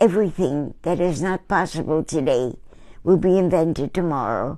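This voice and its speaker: A woman with a dark, mellow tone and a fairly low pitch. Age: 90s. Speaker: painter. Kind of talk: casual talk to viewers about her painting. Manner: rambling, conversational.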